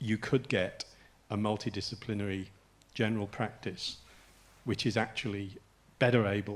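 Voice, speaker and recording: A man's fairly low voice with an English accent. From England. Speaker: health policy expert on a conference panel. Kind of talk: panel discussion. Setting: stage with audience. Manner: halting, many restarts.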